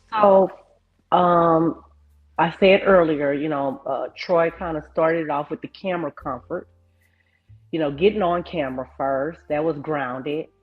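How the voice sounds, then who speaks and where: Music plays behind a woman speaking at a fairly slow pace. Her pitch is fairly low, with ordinary variation. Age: 50s. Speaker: YouTuber and photographer. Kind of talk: interview.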